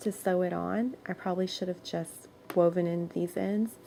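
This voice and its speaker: A woman delivers her words at a moderate pace in a dark, mellow tone. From moved around as army child. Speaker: crochet tutorial creator. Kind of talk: tutorial. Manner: casual, chatty.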